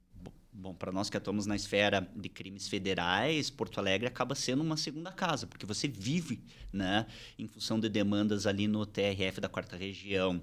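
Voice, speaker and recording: This man speaks at a moderate pace with a fairly low pitch and ordinary pitch variation, in a very clean recording with a silent background. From interior of São Paulo state, Brazil. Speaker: criminal lawyer and law professor. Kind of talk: interview. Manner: hesitant, repeats words.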